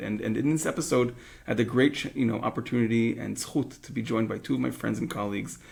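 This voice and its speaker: In a very clean recording with a silent background, a man speaks very fast with vocal fry. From Israel. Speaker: podcast host, rabbi. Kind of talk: podcast interview. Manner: halting, many fillers.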